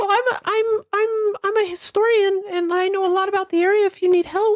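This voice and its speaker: This is a put-on character voice at an extremely high pitch. It moves at a fairly quick pace. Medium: actual play. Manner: hesitant, stammering, cheery.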